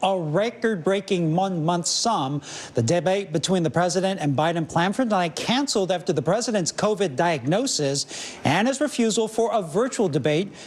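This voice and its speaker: Over noticeable background noise, a man speaks at a high pitch and moderate pace, with hardly any pauses. His intonation is lively and his loudness very even. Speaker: television news anchor. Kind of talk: TV news broadcast delivery.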